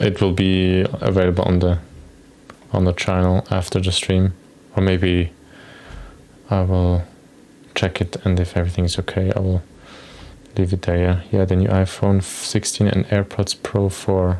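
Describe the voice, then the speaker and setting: A man with a non-native accent speaks at a very deep, low pitch and a moderate pace, in monotone, flat intonation with very even loudness. Long, frequent pauses break up his speech over noticeable background noise. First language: not English. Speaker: software developer streamer. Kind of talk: live coding stream with chat. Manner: casual, hesitant.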